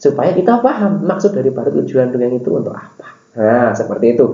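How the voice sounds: In a room with audible echo, a man with a dark, mellow tone and a medium pitch speaks at a fairly quick pace with big pitch swings.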